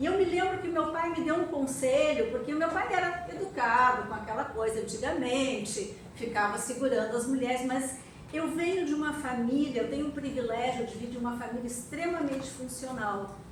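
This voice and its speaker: A woman talks at a moderate pace in a high voice with lively intonation. Noticeable background noise and audible room echo come through. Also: hardly any pauses. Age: 60s. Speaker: architect and activist. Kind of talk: panel talk at an event.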